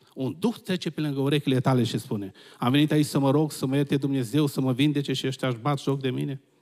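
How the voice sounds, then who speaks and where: The man's pitch is fairly high and his pace very fast. The background is quiet. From Romania. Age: old. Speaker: visiting preacher. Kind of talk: sermon. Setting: church. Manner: animated. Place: church. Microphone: handheld.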